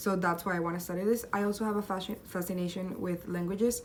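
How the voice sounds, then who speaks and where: With flat, monotone intonation, a woman talks at a fairly quick pace and a medium pitch. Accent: Spanish. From Colombia. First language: Spanish. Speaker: university student. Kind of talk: self-presentation video.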